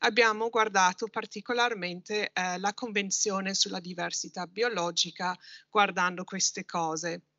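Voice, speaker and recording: A woman speaks fairly slowly with fairly even intonation. The sound is dry with no echo, and the background is quiet. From Britain. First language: English (speaking Italian). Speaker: university researcher, political sociologist. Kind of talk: conference presentation. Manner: halting, many fillers. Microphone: video call.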